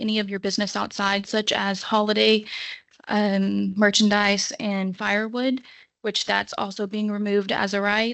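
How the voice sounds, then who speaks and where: Shaky and nervous in tone, a woman speaks at a moderate pace and a medium pitch with monotone, flat intonation. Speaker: public commenter at city council meeting. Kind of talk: public comment. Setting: city council meeting. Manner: nervous, shaky voice.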